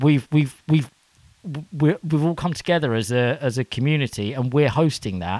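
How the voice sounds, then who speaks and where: With a British accent, this man speaks at a moderate pace with a fairly high pitch and ordinary pitch variation. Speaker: podcast co-host. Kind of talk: casual comedic banter. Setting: studio.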